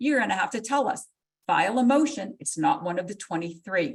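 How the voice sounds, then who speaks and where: Lively intonation runs through this woman's speech. Her voice is somewhat breathy. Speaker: court clerk staff presenter. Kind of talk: legal education webinar presentation. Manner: fast; animated.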